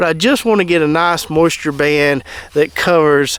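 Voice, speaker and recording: A man in a Southern US accent talks at a moderate pace with fairly even intonation. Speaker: gardener. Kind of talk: casual talk to camera.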